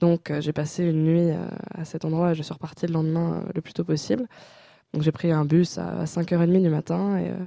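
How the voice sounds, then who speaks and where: A woman with a very deep, low pitch talks, her voice rising and falling in an ordinary way. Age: 20s. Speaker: university student. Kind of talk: interview. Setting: studio. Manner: halting.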